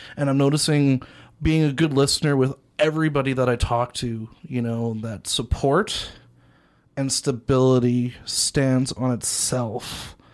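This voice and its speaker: A man speaks at a fairly slow pace in a medium pitch, with a Canadian accent, on a very clean recording with a silent background. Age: 20s. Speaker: youth advocate, former youth in care. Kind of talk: casual radio interview. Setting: radio studio. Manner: energetic.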